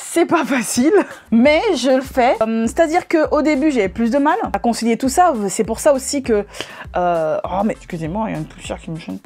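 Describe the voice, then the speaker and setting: A woman's high voice with very wide pitch swings at a moderate pace, over noticeable background noise. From Paris, France (Guadeloupean family). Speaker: YouTuber, natural hair vlogger. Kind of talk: Q&A vlog, casual chat. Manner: casual, jokey, with fillers.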